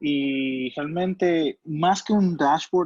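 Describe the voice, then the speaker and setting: Against a quiet background, a man with a Spanish accent speaks with ordinary pitch variation in a dry, close sound with no echo. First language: Spanish (speaking Portuguese). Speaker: product demo engineer. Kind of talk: software demo. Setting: online webinar.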